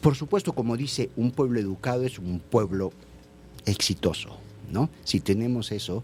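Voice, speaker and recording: At a moderate pace, a man speaks in a somewhat breathy voice at medium pitch. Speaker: theatre director. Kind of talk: radio interview.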